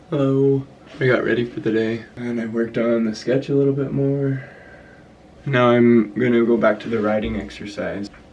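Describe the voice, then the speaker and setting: The speech moves at a moderate pace with fairly even intonation, set against noticeable background noise. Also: man, medium pitch for a man. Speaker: art vlogger. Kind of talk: casual vlog narration. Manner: soft-spoken; hushed.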